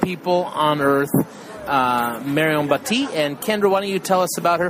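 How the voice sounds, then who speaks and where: Noticeable background noise runs beneath speech at a moderate pace with ordinary pitch variation. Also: man. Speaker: homeschooling podcast co-host. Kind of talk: casual chat. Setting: in a car.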